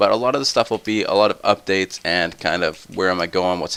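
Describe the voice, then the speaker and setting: A fairly quick pace, the pitch varying in an ordinary way. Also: man. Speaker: gaming let's play youtuber. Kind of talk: casual gaming commentary. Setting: home recording at night. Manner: soft-spoken.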